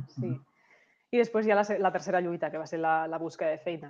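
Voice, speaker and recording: This woman has a normal speaking voice pitched fairly low. She talks at a fairly quick pace. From Catalonia, Lleida. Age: 30s. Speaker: insurance advisor. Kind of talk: interview.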